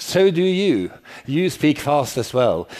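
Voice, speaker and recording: With noticeable background noise behind him, a man speaks at a fairly high pitch with lively intonation. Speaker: professor. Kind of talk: lecture. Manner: fast.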